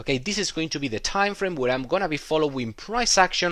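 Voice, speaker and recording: A man's bright, sharp-toned voice with a non-native accent, on a very clean recording with a silent background. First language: not English. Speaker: trading educator. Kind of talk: tutorial. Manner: hesitant, many filler words.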